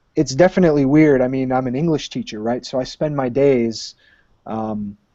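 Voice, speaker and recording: Here a man with an American accent has an unremarkable speaking voice. He talks at a moderate pace with ordinary pitch variation. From Michigan, US. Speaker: high school English teacher and aspiring author. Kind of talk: casual interview.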